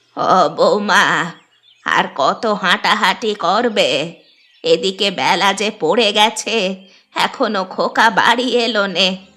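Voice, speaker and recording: A woman performs a cartoonish character voice at a very slow pace. Her medium pitch shows ordinary variation. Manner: fussing, motherly.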